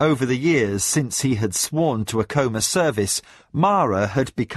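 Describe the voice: The reading aloud is plain, carried by lively intonation.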